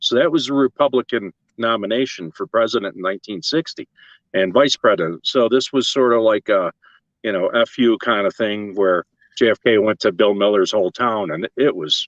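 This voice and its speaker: A man with a plain, everyday voice and an American accent speaks at a fairly quick pace and medium pitch, his intonation lively and the sound dry and close with no echo. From western New York (Lockport). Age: 60s. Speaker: tintype artist. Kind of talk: casual interview chat.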